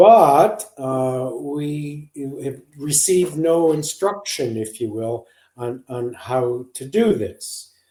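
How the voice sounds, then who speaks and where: A man with an American accent, fairly high in pitch, dark and mellow in tone, at a very slow pace with lively intonation and big swings in loudness. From US. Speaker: psychologist, parenting author. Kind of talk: podcast interview.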